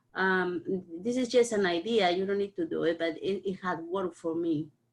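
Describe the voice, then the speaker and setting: A woman with a non-native accent, at medium pitch, moderate pace and ordinary pitch variation. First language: not English. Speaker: parent participant. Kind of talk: online community discussion. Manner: halting.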